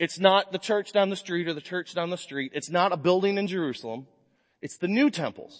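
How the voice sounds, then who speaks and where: Loud and animated, a man speaks at a fairly quick pace with a high pitch. His pitch varies in an ordinary way. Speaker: pastor. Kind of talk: sermon. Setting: church.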